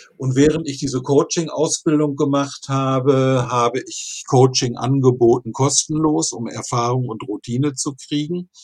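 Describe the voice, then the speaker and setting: A man has an unremarkable speaking voice, fairly high in pitch, with fairly even intonation. His loudness swings a lot. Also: hardly any pauses. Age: 60s. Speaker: finance blogger and coach. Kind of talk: podcast interview.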